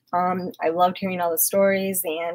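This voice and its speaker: Shaky and nervous in tone, a woman speaks in a medium pitch. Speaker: hockey fan livestreamer. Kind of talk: casual livestream Q&A. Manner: shaky, nervous delivery; hesitant with many fillers.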